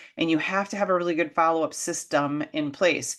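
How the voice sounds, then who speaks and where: Against a quiet background, a woman talks in an animated tone at a fairly low pitch with ordinary pitch variation. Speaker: business coach. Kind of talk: tutorial. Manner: fast.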